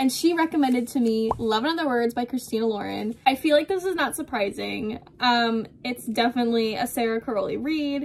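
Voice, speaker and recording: A woman speaks at a fairly quick pace with a high pitch and lively intonation over light background noise. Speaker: book vlogger. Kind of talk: casual vlog chat. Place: home room. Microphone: phone near.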